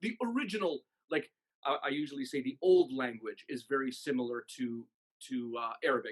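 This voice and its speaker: Speaking with a Canadian accent, a man uses a fairly high pitch, lively intonation and a fairly quick pace. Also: dry, close sound with no echo. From Canada, Toronto. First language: Maltese. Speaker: musician and music director. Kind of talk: interview.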